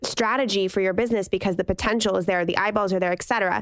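A woman has a plain, everyday voice at medium pitch with fairly even intonation. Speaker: podcast co-host. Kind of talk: casual chat.

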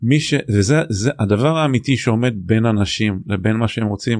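Against a quiet background, a man with a plain, everyday voice speaks at a moderate pace and medium pitch, with ordinary pitch variation. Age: 50s. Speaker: executive coach and author. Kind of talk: casual interview.

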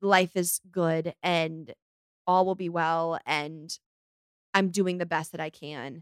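Pausing long and often, a woman with a fairly low pitch speaks in an animated tone, the sound dry and close with no echo. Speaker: podcast host. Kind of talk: casual solo chat. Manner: fast.

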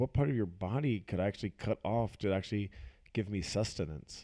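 A man talks in a fairly low pitch with a dark, mellow tone. His delivery has a playful tone and ordinary pitch variation. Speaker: boyfriend of the host, co-host for the episode. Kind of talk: casual chat. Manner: joking, playful.

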